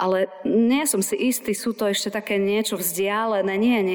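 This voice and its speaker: Moderately paced speech with fairly even intonation over noticeable background noise. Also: woman. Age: 40s. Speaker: pastor. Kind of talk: sermon.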